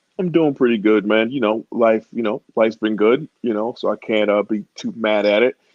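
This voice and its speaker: Here a man speaks with an American accent at a fairly quick pace. His pitch is medium and his intonation fairly even. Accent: slight Southern twang, comes and goes. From Georgia, US South (Atlanta). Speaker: professional wrestler. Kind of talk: podcast interview.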